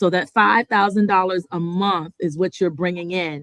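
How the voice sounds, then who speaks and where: A woman speaks in a normal speaking voice at a fairly low pitch with ordinary pitch variation. Her moderate-paced speech has a dry, close sound with no echo. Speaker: mortgage lending presenter. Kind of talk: seminar presentation. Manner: conversational with filler words.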